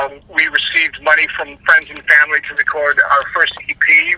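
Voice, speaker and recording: Amid noticeable background noise, a man with an American accent speaks in a dry, close recording with no echo. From Los Angeles, US. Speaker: rock singer. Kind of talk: interview.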